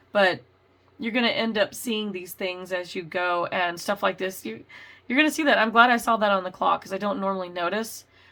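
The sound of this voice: In a raspy put-on character voice, a woman talks at a fairly quick pace and medium pitch on a very clean recording with a silent background.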